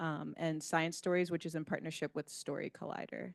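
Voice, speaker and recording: In an ordinary speaking voice, a woman with a fairly low pitch talks at a moderate pace, the sound dry and close with no echo over a quiet background. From New York. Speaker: park education staff presenter. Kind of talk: meeting presentation. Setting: meeting room with hybrid video call.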